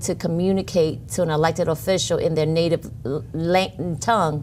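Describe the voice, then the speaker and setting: A woman with vocal fry speaks at a fairly low pitch with ordinary pitch variation. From New Orleans, Louisiana (from Vietnam age five). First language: Vietnamese. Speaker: city council member-elect, nonprofit director. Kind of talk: interview.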